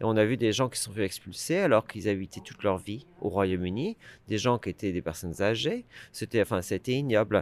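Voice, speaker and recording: Recorded very cleanly against a silent background, a man talks at a moderate pace in a fairly low pitch. He has an ordinary speaking voice, and the sound is dry and close with no echo. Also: ordinary pitch variation. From France. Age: 40s. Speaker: campaigner for EU citizens' rights. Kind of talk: interview.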